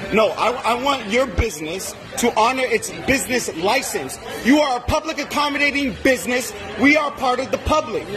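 A man speaks at a moderate pace with extremely high pitch, lively intonation and few pauses. Clear background noise includes clear crowd noise in the background.

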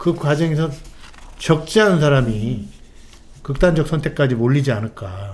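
At a fairly slow pace, a man with a fairly high pitch uses lively intonation and leaves long, frequent pauses. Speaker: political commentator. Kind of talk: live political talk show. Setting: studio. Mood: serious, concerned. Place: studio. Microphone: studio mic.

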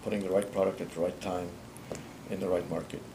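Noticeable background noise accompanies a man speaking in a very deep, low pitch. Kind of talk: interview answer. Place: office.

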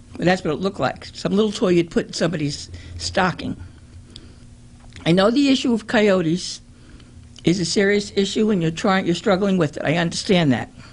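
The speaker sounds somewhat breathy, keeping a very even loudness and taking long, frequent pauses. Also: woman, medium pitch for a woman, ordinary pitch variation, fairly quick pace. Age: 70s. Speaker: resident speaking at council meeting. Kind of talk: public comment. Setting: city council meeting. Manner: halting.

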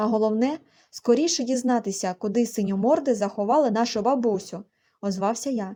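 An unforced reading voice with ordinary pitch variation, over a quiet background.

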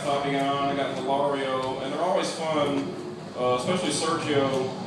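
A man talks at a moderate speed amid noticeable background noise and audible room echo. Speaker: stand-up comedian. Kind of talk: stand-up comedy routine. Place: stage. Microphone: pa.

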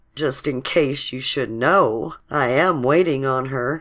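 Slowly and in a put-on character voice, a woman speaks at an extremely low pitch with a fairly bright tone and ordinary pitch variation.

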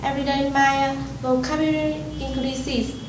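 A woman speaks fairly slowly, her voice carrying audible room echo as noticeable background noise runs beneath. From Vietnam. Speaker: English learner giving a speech. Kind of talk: prepared speech / testimonial. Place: classroom. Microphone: camera far.

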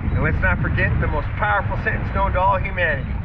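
A man is talking. Loud background noise surrounds his voice. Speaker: outdoor adventure vlogger. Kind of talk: casual vlog outro. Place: boat.

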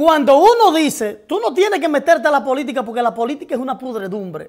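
A man with a Dominican accent speaks in a high pitch against a quiet background. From Dominican Republic. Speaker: TV talk show host. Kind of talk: live political commentary with call-ins. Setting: TV studio, live broadcast. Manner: animated, profane and outspoken. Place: studio.

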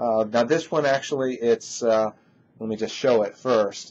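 A man speaks at a fairly slow pace with ordinary pitch variation. Light background noise sits behind him. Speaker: industry analyst. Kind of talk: product review talk. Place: office. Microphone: webcam.

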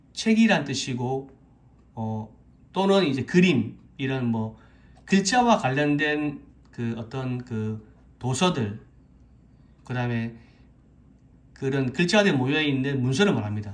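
Lively intonation marks a man's speech. He talks at a very slow pace, with long, frequent pauses. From South Korea. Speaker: Korean language teacher on YouTube. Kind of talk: tutorial; lecture. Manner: halting, many fillers. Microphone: phone near.

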